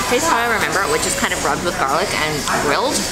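Clear music sits in the background as a woman speaks at a very fast pace. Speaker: food vlogger. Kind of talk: casual vlog chat. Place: cafe. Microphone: phone near.

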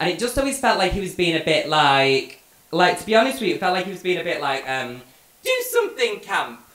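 Talking at a very fast pace in a high pitch, a man makes very wide pitch swings, with audible room echo around him. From Manchester, England. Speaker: stand-up comedian. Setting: stage with live audience. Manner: cheeky, camp and flamboyant, laughing at his own punchlines; chatty and rambling, peppered with ums and swearing. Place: stage.

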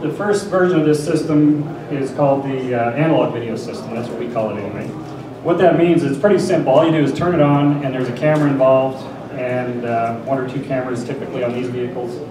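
A man's very fast speech with ordinary pitch variation, plus audible room echo and noticeable background noise. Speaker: conference presenter. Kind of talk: lecture. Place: hall.

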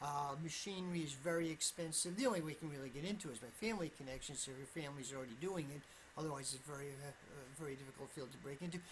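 With an American accent, a woman talks at a very fast pace with hardly any pauses, her very deep, low voice somewhat breathy, with ordinary pitch variation and light background noise. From US Northeast, Vermont. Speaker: political YouTuber. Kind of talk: solo commentary monologue. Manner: halting, many fillers. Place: home room. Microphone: webcam.

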